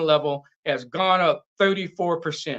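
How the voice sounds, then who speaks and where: A man speaks in a raised, projected voice at a fairly slow pace, high-pitched with ordinary pitch variation. His tone is bright and sharp, and the background is quiet. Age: 60s. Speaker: martial arts gym owner and fitness instructor. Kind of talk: casual interview chat.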